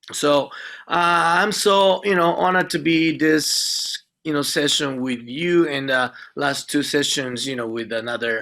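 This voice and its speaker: A man's fairly high, bright, sharp voice with a Japanese accent, lively intonation and a fairly slow pace. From Japan, Nagoya. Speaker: speaker on Shinto at an interfaith event. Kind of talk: presentation to an audience. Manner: halting, many fillers.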